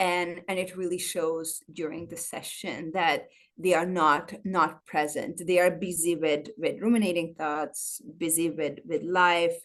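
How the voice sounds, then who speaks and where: Speaking with a non-native accent, a woman talks at a fairly slow pace with fairly even intonation. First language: not English. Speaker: trauma-informed personal trainer. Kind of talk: interview. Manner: halting.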